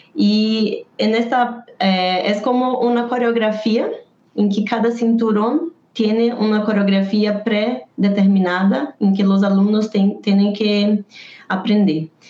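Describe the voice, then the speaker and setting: Over noticeable background noise, a woman with a fairly high pitch speaks at a very slow pace, keeping her loudness very even and her intonation fairly even. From Brazil. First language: Portuguese (speaking Spanish). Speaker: taekwondo poomsae coach. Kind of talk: interview.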